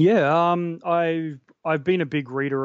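Speaking with an Australian accent, a man keeps his intonation fairly even. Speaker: horror blogger. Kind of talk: casual chat. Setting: video call.

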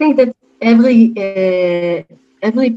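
Using ordinary pitch variation, a woman with an Israeli accent speaks at a very slow pace. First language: Hebrew. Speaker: peace activist, event organizer. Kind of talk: interview.

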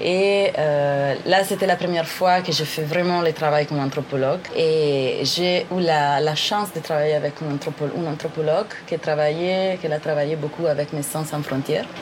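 With an Italian accent, a woman talks in a very deep, low pitch with hardly any pauses over noticeable background noise. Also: fairly even intonation, moderate pace. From northern Italy. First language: Italian (speaking French). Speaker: anthropologist and aid worker. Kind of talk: interview about her life. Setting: hostel in a Brazilian village. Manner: hesitant, many fillers.

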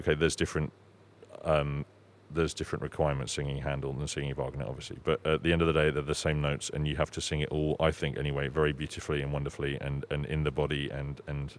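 A man with a southern English accent talks at a very fast pace in a very deep, low pitch. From southern England (Sussex). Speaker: opera singer (bass). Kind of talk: interview. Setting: in person, under a Christmas tree. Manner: hesitant, many fillers.

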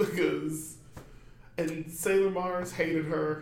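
A man's high voice at a very slow pace, fairly even intonation, audible room echo, and noticeable background noise. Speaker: podcast guest, friend of host. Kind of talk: casual chat. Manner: laughs often.

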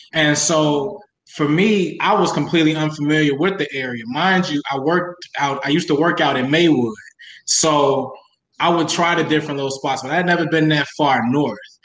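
This man talks at a moderate pace, his fairly high voice showing ordinary pitch variation. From Chicago south suburbs. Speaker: interviewee. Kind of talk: casual interview. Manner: animated.

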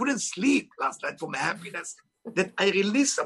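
Speaking at a fairly quick pace with an Israeli accent, a man has a bright, sharp tone and ordinary pitch variation. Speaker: author and spiritual teacher. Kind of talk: interview. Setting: video call.

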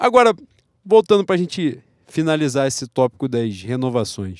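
A man talks at a fairly quick pace and medium pitch, with a dry, close sound with no echo in a very clean recording with a silent background. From Rio de Janeiro, Brazil. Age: 30s. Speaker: football podcast co-host. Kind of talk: casual chat.

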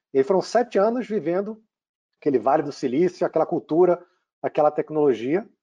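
A man with a Rio de Janeiro accent, fairly high pitch, a dark, mellow tone, lively intonation and a fairly quick pace, in a dry, close sound with no echo. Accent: Rio de Janeiro (carioca). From Brazil, Rio de Janeiro. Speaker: tech company CEO. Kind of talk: interview.

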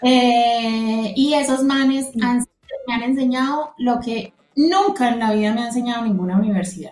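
A woman's high-pitched voice in a Colombian paisa accent. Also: ordinary pitch variation, fairly slow pace. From Colombia, Manizales (raised; born Medellín). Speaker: podcast co-host, economist. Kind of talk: casual chat. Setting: remote call over internet.

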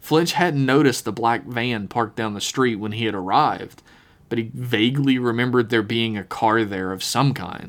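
Reading aloud in a natural voice. The pitch varies in an ordinary way.

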